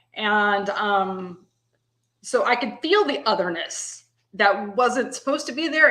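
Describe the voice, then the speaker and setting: With a Texan accent, a woman talks at a fairly high pitch with ordinary pitch variation. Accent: Texan Southern. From US South, East Texas (Tyler). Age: 50s. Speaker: guest. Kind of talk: casual chat. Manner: halting, many fillers.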